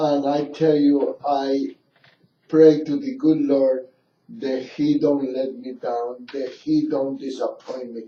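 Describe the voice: A man speaks at a slow pace with little pitch movement. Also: medium pitch for a man.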